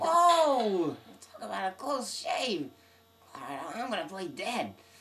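In a cartoonish character voice, the speaker goes at a fairly slow pace with a fairly high pitch and very wide pitch swings. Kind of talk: comic cartoon voice acting.

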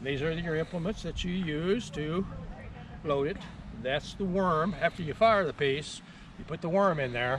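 A man at a moderate pace with ordinary pitch variation, in a dry sound with no echo and noticeable background noise. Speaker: living history reenactor. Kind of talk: demonstration explanation. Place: open country. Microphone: camera far.

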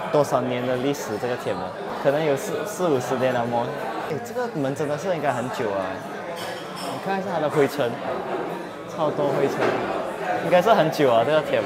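A man talks at a moderate pace as crowd noise fills the background. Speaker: vlogger. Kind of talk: casual vlog chat. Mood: cheerful, amused. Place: street. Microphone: phone near.

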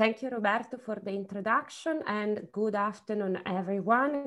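A woman speaking at a moderate pace with ordinary pitch variation, music playing in the background. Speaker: university lecturer. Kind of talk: lecture. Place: home room. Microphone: earbuds.

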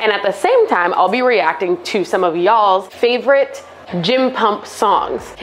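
A woman talks fairly slowly, her pitch varying in an ordinary way, with light background noise behind her. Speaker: fitness vlogger. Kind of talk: casual vlog chat. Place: gym. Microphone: lapel.

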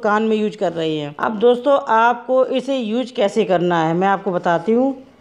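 Against a quiet background, a woman talks at a fairly slow pace. Her pitch varies in an ordinary way. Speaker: home remedy vlogger. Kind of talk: tutorial. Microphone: phone near.

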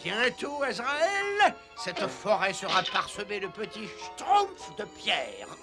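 A cartoonish character voice at a fairly slow pace over clear music in the background. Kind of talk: cartoon villain acting. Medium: fan dub. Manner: gloating, then furious and ranting.

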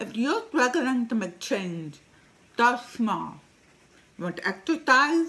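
A woman's fairly high voice with a bright, sharp tone, at a fairly slow pace. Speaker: digital marketer. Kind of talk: casual talk to camera. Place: home room. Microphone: webcam.

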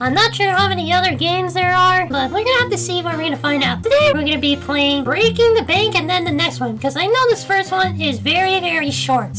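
A put-on character voice races along at a very fast pace over loud background music. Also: hardly any pauses. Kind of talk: lets-play commentary. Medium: virtual streamer. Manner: excited, chatty, casual.

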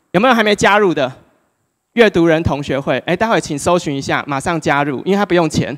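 This man talks at a fairly quick pace in a high voice, with ordinary pitch variation over a quiet background. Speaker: speaker. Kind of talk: public talk. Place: hall. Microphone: handheld.

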